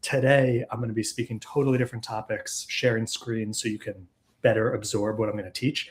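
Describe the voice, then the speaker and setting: Somewhat breathy and medium in pitch, a man with an American accent talks at a fairly quick pace with fairly even intonation. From New York. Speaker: chiropractic practice consultant and speaker. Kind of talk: webinar presentation. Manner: fast.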